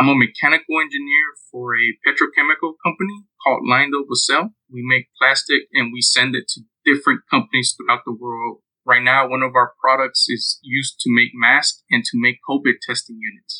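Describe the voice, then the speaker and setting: A bright, sharp tone carries fairly even intonation at a moderate pace, the sound dry and close with no echo. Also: man, fairly high pitch for a man. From Houston, Texas. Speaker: mechanical engineer. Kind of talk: casual chat.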